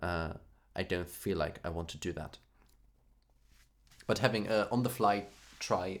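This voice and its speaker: A man with a German accent and a very deep, low voice, big swings in loudness, long and frequent pauses, a fairly slow pace and ordinary pitch variation. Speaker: music streamer. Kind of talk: casual chat. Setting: live stream. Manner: halting.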